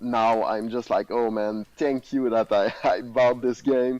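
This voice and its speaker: In a dry, close sound with no echo, a man of medium pitch speaks at a fairly slow pace in a Quebec accent. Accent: Québécois French accent in English. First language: French. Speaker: contest winner. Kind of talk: casual chat. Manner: halting.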